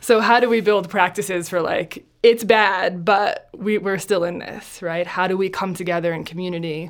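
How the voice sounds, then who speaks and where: In a plain, everyday voice, a woman with an American accent speaks at a medium pitch and moderate pace, with hardly any pauses. Her intonation is fairly even, while her loudness swings widely. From New Jersey. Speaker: compassion training nonprofit founder. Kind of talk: interview. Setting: studio.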